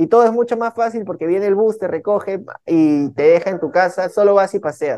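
Speaking fairly quickly, a man with a high pitch and a dark, mellow tone shows ordinary pitch variation. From Peruvian Amazon, San Martín (Lamas). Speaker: urban music artist. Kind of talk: interview.

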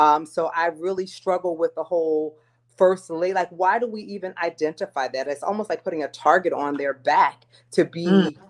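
A woman has an ordinary speaking voice, fairly low in pitch. She talks at a moderate pace with ordinary pitch variation. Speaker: podcast guest. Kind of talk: casual chat.

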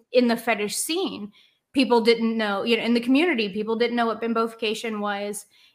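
A woman's unremarkable speaking voice, fairly high-pitched and fairly even in intonation, at a fairly quick pace in a very clean recording with a silent background. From Cincinnati, Ohio. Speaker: adult film performer. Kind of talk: casual chat.

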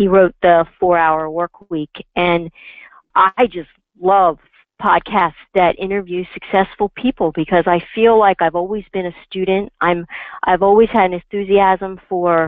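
A woman with an unremarkable speaking voice talks at a fairly slow pace in a medium pitch. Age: 50s. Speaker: financial planner. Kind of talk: interview.

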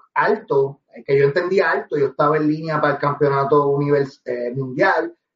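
A man with a Puerto Rican accent talks at a moderate pace, his voice fairly high-pitched for a man and somewhat breathy. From Puerto Rico, Guaynabo. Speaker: professional wrestler and reggaeton artist. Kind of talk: interview.

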